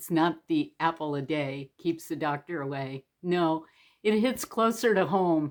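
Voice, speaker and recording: A woman with an ordinary speaking voice talks at a fairly slow pace and a fairly low pitch, on a very clean recording with a silent background. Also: lively intonation. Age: 60s. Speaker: storyteller. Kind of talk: personal story told to camera. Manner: casual, conversational.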